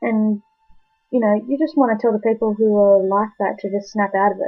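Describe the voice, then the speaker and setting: Music plays in the background as a woman with a fairly high pitch talks at a fairly quick pace with fairly even intonation. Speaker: video blogger. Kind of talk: personal awareness talk to camera. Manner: hesitant, many fillers. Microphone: laptop recording, poor quality.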